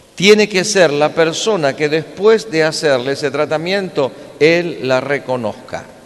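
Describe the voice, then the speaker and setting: Against noticeable background noise, a man with fairly high pitch speaks at a fairly slow pace with ordinary pitch variation. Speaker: preacher. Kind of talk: sermon.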